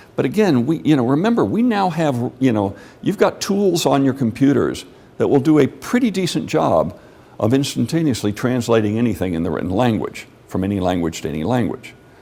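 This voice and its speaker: A man with an American accent, a dark, mellow tone and vocal fry, at a medium pitch and fairly quick pace with very wide pitch swings. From Mexico City. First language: Spanish. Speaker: lecturer. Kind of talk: lecture Q&A. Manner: conversational.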